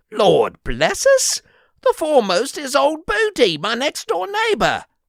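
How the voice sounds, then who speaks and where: Slow-ish and high-pitched, a put-on character voice speaks in an English accent at a fairly slow pace. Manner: exclaiming, astonished.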